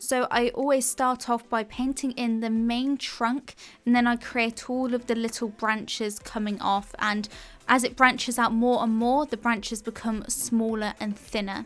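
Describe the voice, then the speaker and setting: A woman's fairly high voice with an English accent, monotone and flat in intonation, at a moderate pace. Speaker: art tutor. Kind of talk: narrated painting tutorial.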